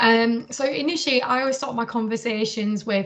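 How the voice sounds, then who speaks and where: Speaking at a moderate pace in a northern English accent, a woman has a fairly high pitch and ordinary pitch variation. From northern England. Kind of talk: interview. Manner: hesitant with many fillers.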